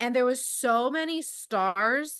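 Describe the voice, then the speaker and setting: A woman speaks loudly with ordinary pitch variation. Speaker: amateur astronomer, club member. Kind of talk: casual talk at an online club meeting. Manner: halting, many fillers.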